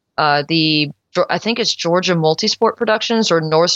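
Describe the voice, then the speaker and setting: Using an ordinary speaking voice, a woman with a fairly low pitch talks at a fairly quick pace with fairly even intonation. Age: 30s. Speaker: high school music director and triathlete. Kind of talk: casual interview.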